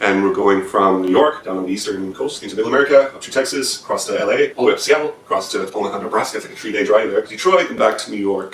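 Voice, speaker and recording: With an Irish accent, a man races along at a very fast pace with hardly any pauses and big swings in loudness, over noticeable background noise. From Ireland. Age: 30s. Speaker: musician. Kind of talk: crowdfunding appeal. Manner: casual.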